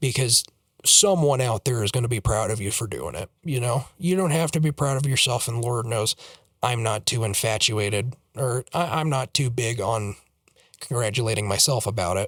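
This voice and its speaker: A man with a somewhat breathy voice speaks at a medium pitch and a moderate pace, with ordinary pitch variation. The sound is dry and close with no echo, recorded very cleanly against a silent background. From Colorado. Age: 18. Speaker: YouTuber. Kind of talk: personal vlog monologue. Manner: halting, repetitive fillers.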